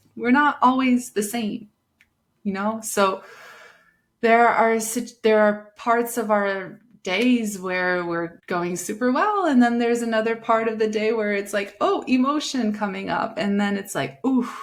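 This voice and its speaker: The speaker has an unremarkable speaking voice with ordinary pitch variation and a fairly slow pace. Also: woman, fairly high pitch for a woman. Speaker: breathwork and meditation guide, podcast host. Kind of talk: casual personal talk to the audience. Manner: gentle, soothing, reflective.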